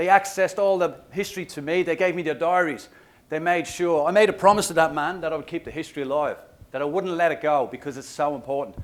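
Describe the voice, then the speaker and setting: A man with an Irish accent and a high pitch speaks in an animated tone at a very fast pace. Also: ordinary pitch variation. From Ireland, Dublin. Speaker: motivational speaker and trek guide. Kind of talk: keynote speech.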